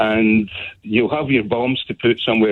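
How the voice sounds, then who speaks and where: This man speaks in a Scottish accent at a medium pitch, his intonation fairly even. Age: 60s. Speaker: caller. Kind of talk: radio phone-in. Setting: phone call. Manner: impassioned.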